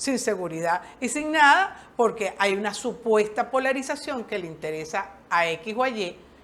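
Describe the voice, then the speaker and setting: Her tone animated and intonation lively, a woman speaks at a medium pitch. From Venezuela. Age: 60s. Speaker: social worker. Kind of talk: interview.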